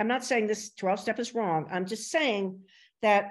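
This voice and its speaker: Speaking at a moderate pace with a New Jersey accent, a woman uses lively intonation against a quiet background. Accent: American, New Jersey. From US Northeast, Princeton, New Jersey. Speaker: podcast host. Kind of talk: casual interview conversation.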